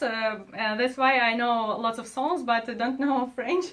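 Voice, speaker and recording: This woman speaks with a Russian accent and a fairly high pitch. Her pitch varies in an ordinary way. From Russia, Moscow. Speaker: advertising executive. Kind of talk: casual interview. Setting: studio. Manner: halting, many fillers.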